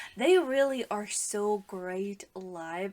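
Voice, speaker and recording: A woman with a non-native accent and a medium pitch. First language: not English. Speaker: music reaction youtuber. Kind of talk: casual reaction commentary. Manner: hesitant, many fillers.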